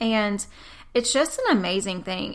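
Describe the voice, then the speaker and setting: With a Southern US accent, the speaker talks with ordinary pitch variation. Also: woman. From US South. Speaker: podcast host. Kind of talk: casual faith talk monologue. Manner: animated.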